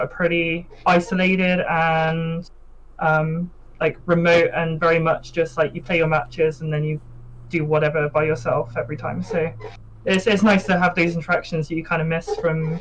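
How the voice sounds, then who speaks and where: Moderately paced speech with a British accent. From UK. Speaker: competitive card game player. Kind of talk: pre-recorded interview.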